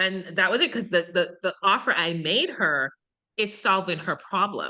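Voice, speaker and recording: A woman with a Jamaican accent, a medium pitch, a bright, sharp tone and a moderate pace, against a quiet background. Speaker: online business coach, summit organizer. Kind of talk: podcast interview.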